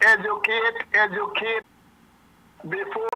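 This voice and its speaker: Speaking at a fairly slow pace, a man talks with a Guyanese accent. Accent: Guyanese Creole. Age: 60s. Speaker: caller. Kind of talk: phone-in comment.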